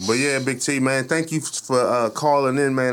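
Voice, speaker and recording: An unremarkable speaking voice from a man at medium pitch, fairly quick, in a very clean recording with a silent background. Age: 30s. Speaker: comedian and online radio show host. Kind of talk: casual chat.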